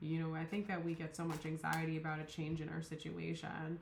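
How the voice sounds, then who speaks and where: Speaking at a fairly quick pace, a woman uses a fairly low voice. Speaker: tarot reader. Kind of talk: tarot reading monologue. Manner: mumbling, many fillers; casual, rambling.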